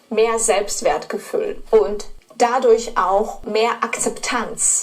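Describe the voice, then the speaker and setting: A woman's fairly high voice with a non-native accent, very slow pace, and ordinary pitch variation. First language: not German (speaking German). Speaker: German pronunciation teacher. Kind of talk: course introduction.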